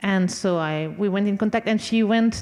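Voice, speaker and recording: In a French accent, a woman speaks at a moderate pace with a dark, mellow tone. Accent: French accent, non-fluent English. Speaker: conductor and violinist. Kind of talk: panel talk. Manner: halting.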